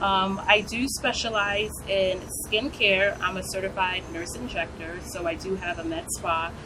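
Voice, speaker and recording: Speaking at a fairly slow pace, a woman with an American accent and a medium-pitched voice is heard with audible room echo and noticeable background noise. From US, New York. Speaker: nurse practitioner and skincare business owner. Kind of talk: interview.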